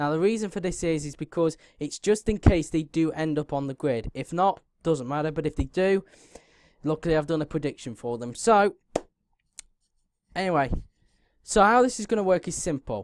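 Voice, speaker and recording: With a British accent, the words come at a fairly quick pace. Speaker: F1 YouTuber. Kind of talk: casual video commentary. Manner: halting, fillers.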